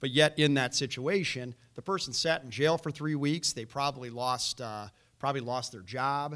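A man with an American accent and an unremarkable speaking voice, fairly high in pitch with ordinary variation, moderate pace, big swings in loudness, on a very clean recording with a silent background. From Chicago, north side. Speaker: former prosecutor, navy veteran, political candidate. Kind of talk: candidates forum debate. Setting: stage with audience.

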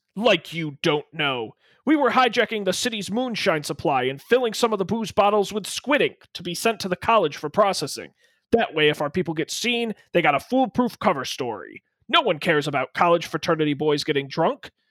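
Putting on a character voice, a man speaks high for a man at a fairly quick pace with very wide pitch swings, in a dry, close sound with no echo and a very clean recording with a silent background. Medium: talk show. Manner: menacing, sneering.

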